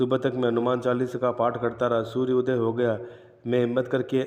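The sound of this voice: Reading in an unforced voice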